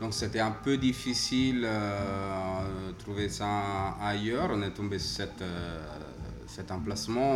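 Over music in the background and audible room echo, a man with an Italian accent speaks at a very slow pace in a fairly low pitch with ordinary pitch variation. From Italy, Rome. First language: Italian (speaking French). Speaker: coffee shop owner. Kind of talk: casual interview. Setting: coffee shop.

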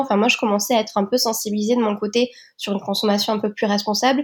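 A woman speaks very fast at a fairly high pitch with fairly even intonation, in a very clean recording against a silent background. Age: 30s. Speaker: entrepreneur. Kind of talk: interview.

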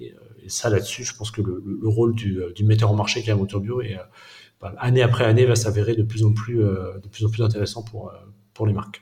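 A man's fairly low, somewhat breathy voice with a dark, mellow tone, flat monotone delivery and a fairly quick pace. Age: 30s. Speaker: organic food wholesale cofounder. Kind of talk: interview. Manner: halting, many repetitions and fillers.

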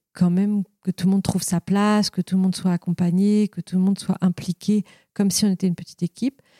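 A woman's dark, mellow tone, somewhat breathy. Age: 40s. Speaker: company co-founder. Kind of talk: interview conversation. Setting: company offices. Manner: halting, many fillers.

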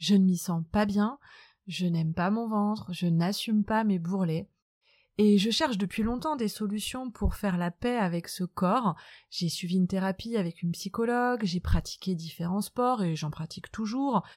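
In a very clean recording with a silent background and a dry, close sound with no echo, a woman talks at a moderate pace with ordinary pitch variation. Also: medium pitch for a woman. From France, Nantes. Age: 30s. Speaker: podcast host. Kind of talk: personal monologue.

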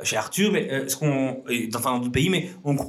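This man talks at a fairly quick pace in a somewhat breathy, fairly high voice with lively intonation. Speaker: entrepreneur. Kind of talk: casual chat. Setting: office studio. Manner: energetic, fast.

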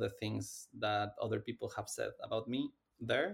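A man with a Spanish accent at a fairly slow pace. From Mexico. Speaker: AI startup science officer. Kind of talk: interview.

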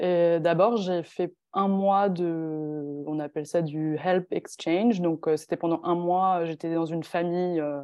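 A woman with an unremarkable speaking voice speaks at a fairly low pitch with ordinary pitch variation. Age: 20s. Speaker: long-distance cycle traveller. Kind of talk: interview.

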